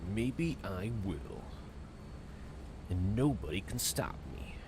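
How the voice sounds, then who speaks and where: A man's put-on character voice, very deep and low, at a very slow pace over loud background noise. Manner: dramatic, theatrical, menacing.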